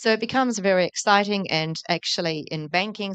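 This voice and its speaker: A woman with a New Zealand accent, dry and close with no echo, over a quiet background. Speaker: tech entrepreneur, company founder. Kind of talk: conference panel talk. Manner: fast; animated.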